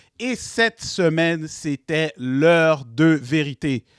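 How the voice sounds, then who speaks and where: In a very clean recording with a silent background and a dry, close sound with no echo, a man with a Quebec accent speaks in an animated tone at a fairly high pitch. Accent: Québécois. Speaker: web show host. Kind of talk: casual panel chat.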